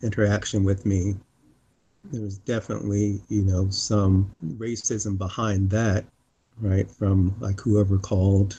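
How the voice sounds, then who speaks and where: This is a man with a fairly low voice. A bit of breathiness comes through as he talks. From US East (Pennsylvania / North Carolina). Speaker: civic engagement leader and musician. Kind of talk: interview conversation. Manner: hesitant, many fillers.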